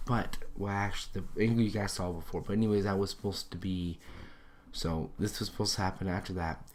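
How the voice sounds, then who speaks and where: This man's intonation is monotone and flat. His pitch is very deep and low. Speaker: video game commentator. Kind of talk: gameplay commentary. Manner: slurring words; halting, self-correcting.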